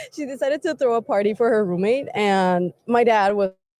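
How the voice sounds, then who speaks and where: A woman with a Spanish accent speaks at a medium pitch in a dark, mellow tone with ordinary pitch variation, in a dry, close sound with no echo. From Mexico, Querétaro. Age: 20s. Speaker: interviewee. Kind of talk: interview. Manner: casual, filler-heavy.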